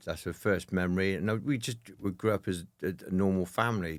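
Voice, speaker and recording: With a Birmingham accent, a man talks at a moderate pace in a very deep, low pitch with fairly even intonation. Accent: Birmingham (Brummie) English. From Birmingham, England. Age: 40s. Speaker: military veteran and mental health speaker. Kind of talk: interview conversation. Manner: hesitant, many fillers.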